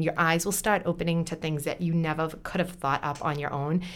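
A woman speaks in a normal speaking voice at a fairly quick pace. Her pitch sits fairly low, with fairly even intonation. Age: 40s. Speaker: entrepreneur and teacher. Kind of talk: casual chat. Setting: studio.

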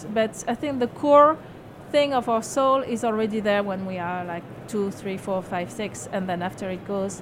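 A woman's medium-pitched voice in a French accent, with ordinary pitch variation and a moderate pace amid noticeable background noise. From France. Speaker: self-help author. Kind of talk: interview. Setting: radio studio at a book fair.

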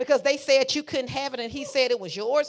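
A woman talks loudly in a high pitch with an animated tone. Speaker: preacher. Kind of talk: sermon.

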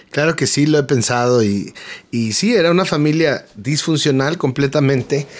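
In a Mexican accent, a man speaks at a fairly high pitch and moderate pace, with ordinary pitch variation and very even loudness. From Mexico City. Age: 30s. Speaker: graphic designer and worship singer-songwriter. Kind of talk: personal testimony interview. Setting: radio studio.

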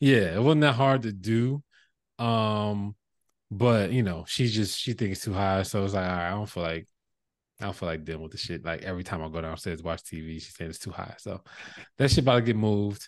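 Against a quiet background, a man speaks fairly quickly at a fairly low pitch. His loudness swings widely, while his pitch varies an ordinary amount. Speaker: podcast co-host. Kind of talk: casual chat. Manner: halting, many fillers.

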